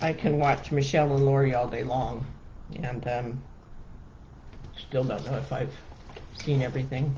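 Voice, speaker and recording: The speaker talks at a moderate pace. Long pauses come often. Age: 60s. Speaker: wreath maker. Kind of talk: live crafting tutorial. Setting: live stream. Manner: halting, many fillers; casual, chatty.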